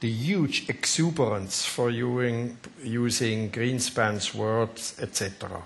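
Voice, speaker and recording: Speaking with a Swiss accent at a very slow pace, a man keeps a medium pitch and ordinary pitch variation amid noticeable background noise. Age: 60s. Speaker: company board chairman. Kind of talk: panel discussion.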